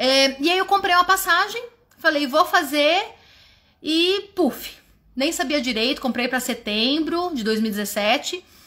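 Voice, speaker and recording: A woman projects a raised, high-pitched voice with a bright, sharp tone. She speaks at a fairly slow pace, her pitch swinging very widely. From Brazil. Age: 30s. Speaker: walking group leader. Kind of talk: personal testimony. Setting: livestream. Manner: informal.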